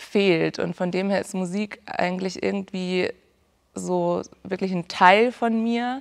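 A woman talks against a quiet background. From southern Germany, Ulm (Swabia); southern Germany. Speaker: music student, classical singer. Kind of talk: interview. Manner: hesitant, many fillers. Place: stage.

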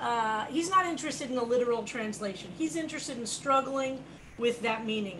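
The speech moves at a fairly quick pace. Light background noise is present. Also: woman. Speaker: teacher leading a study group. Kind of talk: lecture. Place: home room. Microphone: video call.

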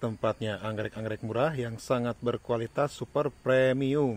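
A man speaks in a dry recording with no echo at all. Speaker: orchid seller. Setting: video recording in front of a camera, showing plants. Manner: fast, run-on, repetitive patter with 'ya' tags, urging buyers not to wait. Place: garden. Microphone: phone near.

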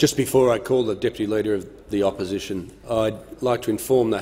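In an Australian accent, a man with a fairly low pitch talks at a fairly quick pace with fairly even intonation. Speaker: parliamentary speaker; speaker. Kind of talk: chairing parliamentary proceedings. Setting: parliament chamber. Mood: firm, slightly stern in rulings. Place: hall. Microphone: podium.

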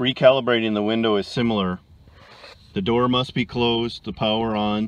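With a dry sound and no echo, a man talks at a moderate pace using fairly even intonation. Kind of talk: tutorial. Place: car. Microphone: phone near.

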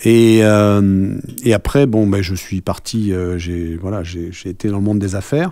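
Against a quiet background with a dry sound and no echo, a man speaks at a fairly slow pace in a fairly low pitch with fairly even intonation. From France. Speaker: rugby club president; interviewee. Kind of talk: radio interview. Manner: hesitant, many fillers. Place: studio. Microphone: studio mic.

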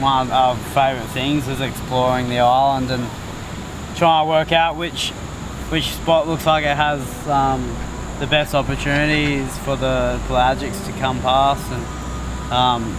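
The speech comes at a fairly slow pace. The sound is dry with no echo, though noticeable background noise is present. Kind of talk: interview answer.

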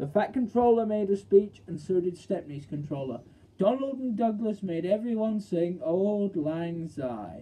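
Plain reading aloud with lively intonation.

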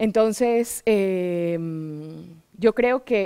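Over a quiet background, a woman speaks at a fairly high pitch with lively intonation. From Ecuador, Guayaquil; Ecuador. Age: 40s. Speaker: writer; interviewee. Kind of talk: interview. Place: stage. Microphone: headset.

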